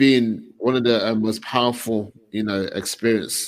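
Speaking in a normal speaking voice, this man keeps a medium pitch, a moderate pace and fairly even intonation. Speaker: men's group host. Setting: online livestream with comments.

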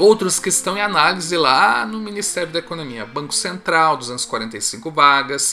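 With lively intonation and big swings in loudness, the speaker talks at a fairly slow pace with hardly any pauses over noticeable background noise. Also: man, fairly high pitch for a man. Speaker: exam prep video host. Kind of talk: solo video monologue, news roundup.

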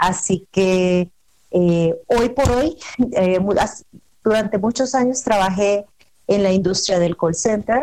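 A woman speaks at a very slow pace with long, frequent pauses. Her voice sits at a medium pitch with ordinary pitch variation and very even loudness. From El Salvador. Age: 30s. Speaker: travel agent. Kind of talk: radio interview.

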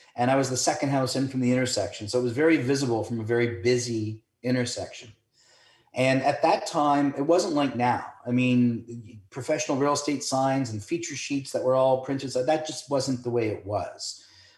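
A man with a Canadian accent, somewhat breathy, medium in pitch, fairly quick in pace and fairly even in intonation. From Toronto, Canada. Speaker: real estate broker. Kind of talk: interview.

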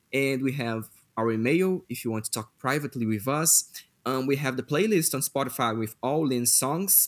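A man with a Portuguese accent at a moderate pace. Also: medium pitch for a man, ordinary pitch variation. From Brazil. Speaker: podcast host. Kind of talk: casual chat.

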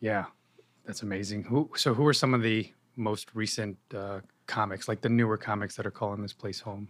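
A man with an American accent and an ordinary speaking voice talks at a moderate pace, with a fairly low pitch and fairly even intonation. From New York (Yonkers). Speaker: podcast host. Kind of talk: interview. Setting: guest's venue.

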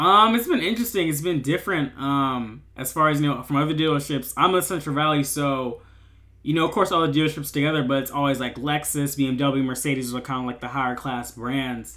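A man talks at a fairly quick pace in a normal speaking voice. His pitch is fairly high, with ordinary pitch variation. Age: 19. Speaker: podcast host, college student. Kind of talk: casual interview chat. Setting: video call.

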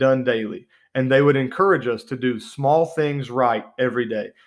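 Against a quiet background, a speaker with an American accent talks at a moderate pace with ordinary pitch variation. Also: man. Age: 30s. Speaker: pastor and podcast host. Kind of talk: podcast sermon. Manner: animated.

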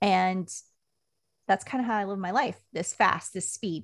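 In an American accent, a woman speaks at a moderate pace with vocal fry. Her pitch variation is ordinary. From Washington State (Puyallup). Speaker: communications consultant and army veteran. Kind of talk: podcast interview.

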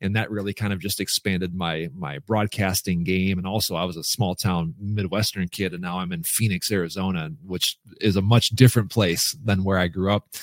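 A man's plain, everyday voice with an American accent, fairly low in pitch, with ordinary pitch variation and a moderate pace, in a very clean recording with a silent background and a dry, close sound with no echo. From rural Minnesota. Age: 40s. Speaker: speaker and coach, former TV weatherman. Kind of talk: podcast interview.

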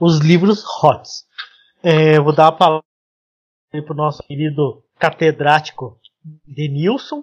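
Recorded dry and close with no echo, a man talks at a fairly high pitch with ordinary pitch variation. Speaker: podcast host, web developer. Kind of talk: casual chat.

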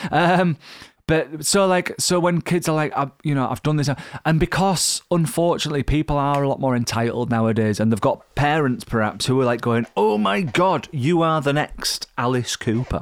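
In a very clean recording with a silent background, a man with a Yorkshire accent speaks at a moderate pace and fairly high pitch, with lively intonation and very even loudness. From Yorkshire, northern England. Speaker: touring rock musician. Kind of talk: casual interview chat.

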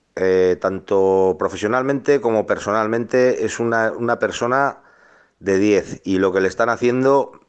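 A man's plain, everyday voice, fairly low in pitch, with ordinary pitch variation and a fairly slow pace. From Álava, Basque Country. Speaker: listener sending voice message. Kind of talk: voice message.

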